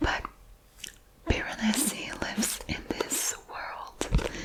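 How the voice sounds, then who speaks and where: The whispering is heard against noticeable background noise. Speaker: ASMR creator. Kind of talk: ASMR book haul, whispered rambling to camera. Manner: whispered, soft-spoken, relaxing.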